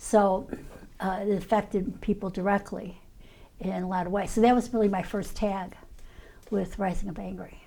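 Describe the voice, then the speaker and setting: In a Chicago accent, a woman speaks at a moderate pace and medium pitch with a dark, mellow tone, a monotone, flat intonation, and long, frequent pauses. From US Midwest, Chicago south side. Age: 70s. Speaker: former activist. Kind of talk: oral history interview. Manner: halting, many fillers.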